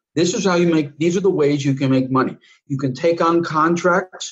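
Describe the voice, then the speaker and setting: Ordinary pitch variation in the somewhat breathy voice of a man. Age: 60s. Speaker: retired army officer and remote viewer. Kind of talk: interview. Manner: halting, many restarts.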